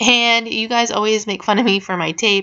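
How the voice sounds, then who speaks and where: A woman speaks at a medium pitch. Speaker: makeup tutorial youtuber. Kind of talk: tutorial voiceover. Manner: casual, chatty.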